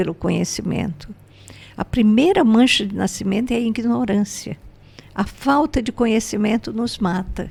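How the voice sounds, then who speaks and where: A woman talks at a fairly high pitch and a moderate pace, with vocal fry. Her pitch varies in an ordinary way. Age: 80s+. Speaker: spiritual teacher and entrepreneur. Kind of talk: podcast interview.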